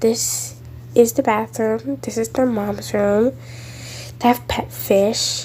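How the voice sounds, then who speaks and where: Very slow female speech amid noticeable background noise. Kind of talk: casual game walkthrough narration.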